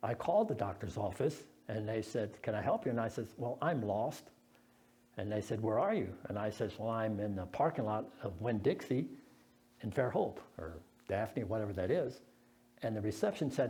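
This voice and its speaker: Through audible room echo, a man speaks at a moderate pace in a dark, mellow tone. His voice is somewhat breathy, broken by long, frequent pauses. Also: medium pitch for a man, ordinary pitch variation. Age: 70s. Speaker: lay preacher. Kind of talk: sermon. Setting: church.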